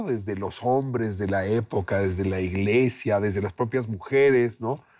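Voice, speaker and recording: A man with an ordinary speaking voice talks at a fairly slow pace, with a medium pitch and ordinary pitch variation. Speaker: TV host. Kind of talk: interview question.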